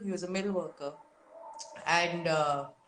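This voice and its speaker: With noticeable background noise behind her, a woman speaks with ordinary pitch variation. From India (Mumbai). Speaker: artist and non-binary activist. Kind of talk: casual interview chat. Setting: Instagram live video call.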